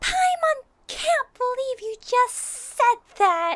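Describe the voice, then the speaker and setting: In a put-on character voice, the speaker talks at a very slow pace and an extremely high pitch. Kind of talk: audio roleplay. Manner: excitable.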